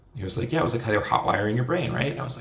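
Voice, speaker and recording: A man at medium pitch, with audible room echo and noticeable background noise. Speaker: spiritual vlogger. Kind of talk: casual monologue. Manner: casual, filler-heavy.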